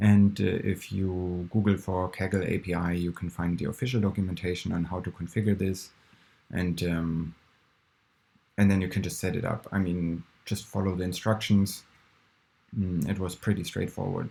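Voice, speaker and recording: Mumbling at a moderate pace, a man speaks in a very deep, low voice with monotone, flat intonation. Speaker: programmer. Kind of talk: screen-recorded coding tutorial. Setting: poor-quality recording. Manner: mumbling, hesitant.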